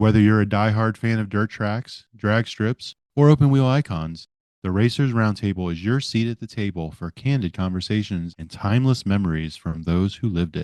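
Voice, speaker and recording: A plain, everyday voice at a moderate pace, with ordinary pitch variation, dry, close sound with no echo, and a quiet background. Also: man, fairly low pitch for a man. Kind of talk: podcast intro read.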